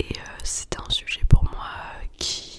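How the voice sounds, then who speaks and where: Noticeable background noise sits under a woman's whispering. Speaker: yoga teacher. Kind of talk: ASMR whispered podcast. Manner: whispered, soft.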